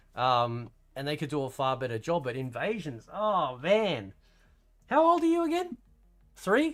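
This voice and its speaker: A man speaks at a fairly slow pace with long, frequent pauses, his fairly high voice making very wide pitch swings on a very clean recording with a silent background. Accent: Australian. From Australia. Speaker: fighting game streamer. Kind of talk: casual chat. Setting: live stream. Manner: animated.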